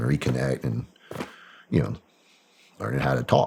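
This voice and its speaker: With a Southern accent, a man speaks at a fairly quick pace in a very deep, low pitch. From Arkansas, US South. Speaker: former special operations soldier and CIA contractor. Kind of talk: casual interview chat.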